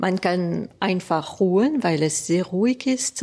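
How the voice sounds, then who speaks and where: Her medium-pitched voice moving at a very slow pace, a woman speaks. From Alsace, France. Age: 50s. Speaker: guesthouse owner. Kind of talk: interview. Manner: halting.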